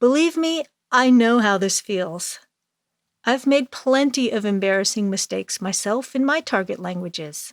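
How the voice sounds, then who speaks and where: Over a silent background in a very clean recording, a woman with a fairly high pitch uses lively intonation, the sound dry and close with no echo. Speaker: English teacher podcaster. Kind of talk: storytelling lesson. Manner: slow and careful.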